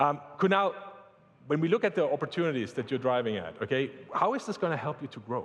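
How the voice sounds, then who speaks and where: Talking very fast, a man uses lively intonation. He has a German accent. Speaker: tech company executive. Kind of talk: corporate presentation panel. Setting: stage with audience.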